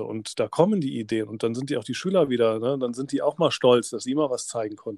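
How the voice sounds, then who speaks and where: A very clean recording with a silent background of a man with a plain, everyday voice, medium in pitch and fairly quick. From Germany, Rhineland (Oberdollendorf near Bonn). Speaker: teacher and podcast host. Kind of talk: podcast interview.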